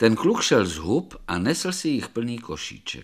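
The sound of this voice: A reading voice, unforced.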